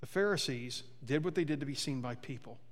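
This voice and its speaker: Lively intonation from a man pitched fairly high, amid audible room echo. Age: 50s. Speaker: pastor. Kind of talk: sermon. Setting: church.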